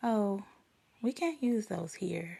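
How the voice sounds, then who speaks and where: A woman's put-on character voice at a medium pitch, with lively intonation. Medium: read story.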